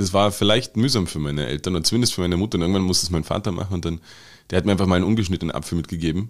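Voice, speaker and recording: In a very clean recording with a silent background, a man with a very deep, low pitch speaks at a very fast pace with ordinary pitch variation. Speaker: podcast co-host. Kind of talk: casual chat.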